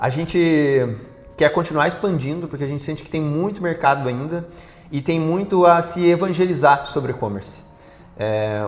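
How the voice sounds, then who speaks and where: Music plays behind a man talking at a fairly quick pace, his fairly high pitch rising and falling in lively intonation. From interior of Paraná, Brazil. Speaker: startup CEO. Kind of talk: TV interview.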